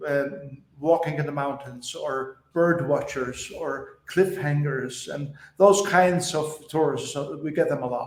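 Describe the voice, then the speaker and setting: With a Faroese accent, a man speaks in a fairly high voice while audible room echo surrounds him. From Faroe Islands. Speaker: pastor. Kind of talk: podcast interview.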